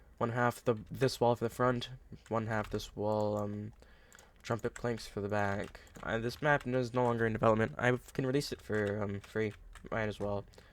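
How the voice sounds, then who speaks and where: A man's medium-pitched voice, monotone and flat in intonation. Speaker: Minecraft content creator. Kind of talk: tutorial. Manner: fast; halting, many fillers.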